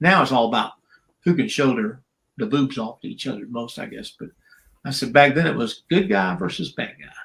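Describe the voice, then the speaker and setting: Speaking with a South Carolina accent, a man with a fairly high voice talks at a fairly quick pace, his pitch swinging very widely, with vocal fry. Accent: Southern US (South Carolina). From US South. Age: 70s. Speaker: retired professional wrestler. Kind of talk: casual interview chat.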